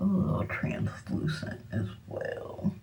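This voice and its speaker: A woman speaks amid noticeable background noise, with audible room echo. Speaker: beauty vlogger. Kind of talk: makeup tutorial. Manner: casual, chatty with fillers; whispering at moments.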